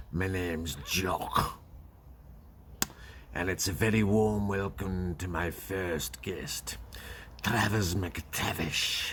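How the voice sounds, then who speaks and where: A raspy, put-on male character voice with a very deep, low pitch at a very slow pace over clear background noise. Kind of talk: comic overacting. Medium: comedy sketch. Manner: sarcastic, mock-polite.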